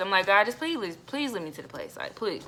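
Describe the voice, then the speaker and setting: A woman speaks with an animated, bright, sharp tone. The recording is very clean, with a silent background. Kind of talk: personal testimony. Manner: fast.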